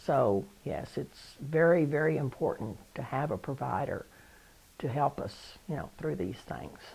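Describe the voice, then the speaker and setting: A woman's very deep, low voice with vocal fry, a fairly slow pace and lively intonation. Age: 70s. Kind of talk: interview testimony. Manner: hesitant, with fillers and repetitions.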